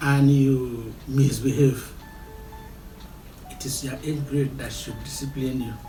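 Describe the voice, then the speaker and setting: Over music in the background, a man talks at a very slow pace in a fairly high pitch. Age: 70s. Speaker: traditional chief, royal family head. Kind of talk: interview answer.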